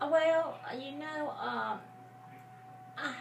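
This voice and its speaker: A woman speaks at a fairly slow pace. Audible room echo and noticeable background noise surround her voice. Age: 60s. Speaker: grandmother interviewed for school project. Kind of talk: casual interview. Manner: halting, many fillers.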